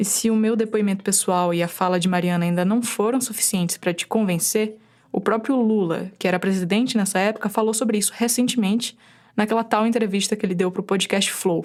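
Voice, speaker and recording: This woman talks with a Bahian accent at a very even loudness. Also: medium pitch for a woman, fairly even intonation, fairly quick pace. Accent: Bahian northeastern Brazilian. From Brazil, Bahia interior (Chapada Diamantina). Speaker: podcast producer/reporter. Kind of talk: scripted narration.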